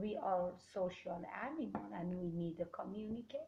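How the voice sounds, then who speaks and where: Somewhat breathy, a woman speaks at a moderate pace with a Kurdish accent. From Iran, Kurdish. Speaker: Toastmasters club member. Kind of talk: interview. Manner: halting.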